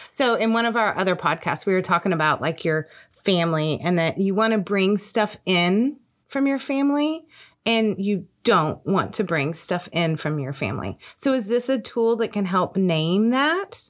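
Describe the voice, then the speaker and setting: On a very clean recording with a silent background, a woman with an unremarkable speaking voice talks at a moderate pace and a medium pitch, her intonation lively. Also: very even loudness. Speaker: podcast host. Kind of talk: interview conversation.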